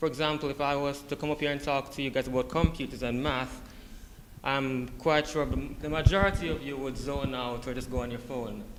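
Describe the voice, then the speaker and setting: Background noise is clearly noticeable. Over it, the man's speech moves at a fairly quick pace. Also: fairly high pitch for a man. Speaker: college student. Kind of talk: class speech. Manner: halting.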